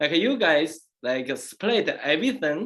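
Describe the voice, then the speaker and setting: A man speaks with a strong Chinese accent. His pitch is fairly high. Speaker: Daoist master and former priest. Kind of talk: casual chat. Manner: halting, many fillers.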